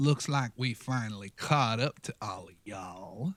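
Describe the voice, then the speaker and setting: Putting on a character voice, a man drawls at a moderate pace in a medium pitch. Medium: actual play. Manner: drawling, folksy "y'all" speech.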